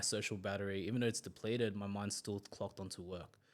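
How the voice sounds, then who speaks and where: Someone with an Australian accent speaks with fairly even intonation on a very clean recording with a silent background. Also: man. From Australia, Sydney western suburbs. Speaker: gym manager. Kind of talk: casual interview chat. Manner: calm, quiet.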